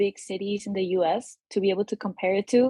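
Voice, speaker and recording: At a moderate pace, a woman with a Spanish accent speaks at a fairly high pitch in a dry, close sound with no echo. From Peru. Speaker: musician, saxophonist and guitarist. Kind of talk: casual interview.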